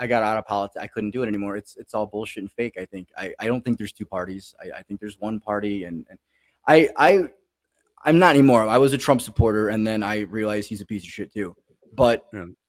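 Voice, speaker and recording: In an American accent, a man with a fairly low pitch talks at a very fast pace, his loudness swinging widely and his pitch varying in an ordinary way, in a dry, close sound with no echo. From Chicago. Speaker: comedian. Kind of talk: casual chat.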